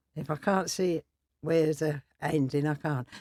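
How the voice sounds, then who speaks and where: With a Cockney accent, a woman speaks at a very deep, low pitch and a moderate pace. The sound is dry and close, with no echo. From East London. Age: 80s+. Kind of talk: interview answer. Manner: blunt, lively.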